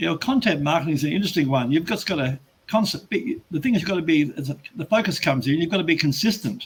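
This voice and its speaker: This man has an Australian accent and a high pitch. He talks very fast with lively intonation. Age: 70s. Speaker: business coach. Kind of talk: interview. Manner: halting, with frequent restarts.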